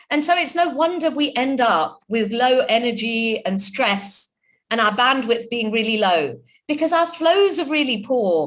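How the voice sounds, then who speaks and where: At a moderate pace, a woman with a British accent speaks at a high pitch with very wide pitch swings. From UK. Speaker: chartered accountant and entrepreneur, webinar speaker. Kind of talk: webinar talk.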